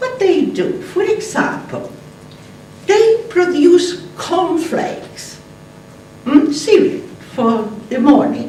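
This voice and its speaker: A woman with a non-native accent speaks at a very slow pace with long, frequent pauses, her extremely high pitch making very wide swings, over noticeable background noise and audible room echo. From Argentina. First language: Spanish. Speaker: conference speaker, atheist activist. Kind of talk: conference talk. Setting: stage with audience. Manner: animated.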